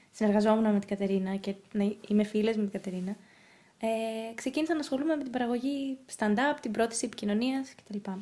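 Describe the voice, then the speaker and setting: A woman's voice sits fairly high in pitch and has a dark, mellow tone. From grew up abroad (Russia, Norway), Greek family. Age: young. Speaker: actress and producer. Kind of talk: casual interview.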